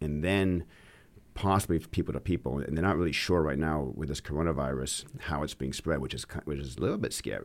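On a very clean recording with a silent background, a man with a very deep, low pitch and vocal fry talks at a fairly quick pace with ordinary pitch variation. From Maine. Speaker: podcast co-host. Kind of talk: casual chat.

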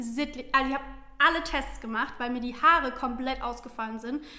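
Raised and projected, a woman's high voice carries audible room echo. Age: 20s. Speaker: social media influencer. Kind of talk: casual chat.

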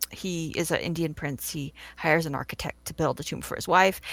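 A woman with an American accent has an unremarkable speaking voice, with ordinary pitch variation at a moderate pace. The recording is very clean, with a silent background. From California. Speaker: film blogger and preservationist. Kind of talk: casual interview.

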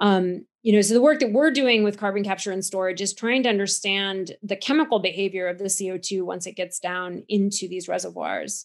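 With an American accent and an ordinary speaking voice, a woman talks at a fairly quick pace and medium pitch, with ordinary pitch variation and hardly any pauses. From United States. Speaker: geochemist, university scientist. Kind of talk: interview, explanatory science talk. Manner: fluent explainer, fillers.

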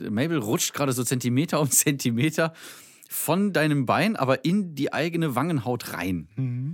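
Lively intonation marks an ordinary speaking voice that moves at a moderate speed. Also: man, fairly high pitch for a man. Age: 30s. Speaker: podcast co-host, comedian. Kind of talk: casual chat.

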